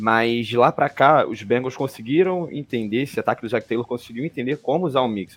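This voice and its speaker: A man with an ordinary speaking voice, medium-pitched, fairly quick and with hardly any pauses, with ordinary pitch variation. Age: 20s. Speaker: NFL podcast panelist, Bengals fan. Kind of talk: sports analysis chat.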